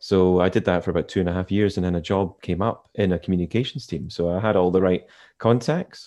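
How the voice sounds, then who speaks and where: Against a quiet background, a man speaks in a Scottish accent at a fairly quick pace. His pitch is very deep and low, with ordinary pitch variation. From Scottish Highlands, Inverness. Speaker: corporate communications head. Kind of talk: interview. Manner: easy-going, understated.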